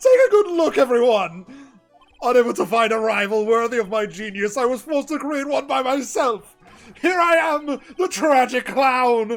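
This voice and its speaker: In a put-on character voice, the speaker uses a fairly high pitch while faint music plays behind. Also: moderate pace. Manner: theatrical, grandiose.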